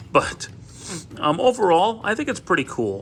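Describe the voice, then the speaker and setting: A man mumbles at a fairly quick pace. His tone is bright and sharp. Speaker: toy reviewer. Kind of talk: product review. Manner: halting, many fillers; mumbling.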